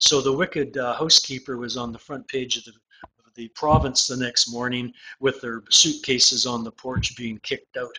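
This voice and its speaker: Here a man speaks at medium pitch and a moderate pace. His tone is bright and sharp, and his intonation is monotone and flat. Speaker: estate litigation lawyer. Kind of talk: interview. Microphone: faint, distorted.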